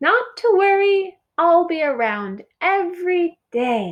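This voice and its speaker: Using a put-on character voice, a woman speaks squeakily at an extremely high pitch and a fairly slow pace. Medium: read story. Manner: chirpy, enthusiastic.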